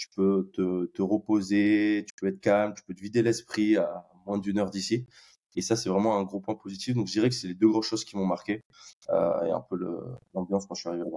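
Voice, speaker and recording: This man talks fairly quickly with a fairly low pitch and a dark, mellow tone, his intonation fairly even but his loudness swinging widely, all in a dry, close sound with no echo. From France, Bordeaux. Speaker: tech employee, expat. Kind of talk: casual interview.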